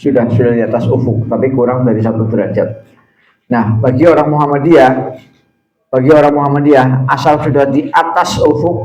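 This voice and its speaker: With fairly even intonation and a somewhat breathy quality, a man talks at a fairly quick pace in a room with audible echo. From Central Java (Tegal). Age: old. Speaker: Islamic preacher and university lecturer. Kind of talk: religious talk to congregation.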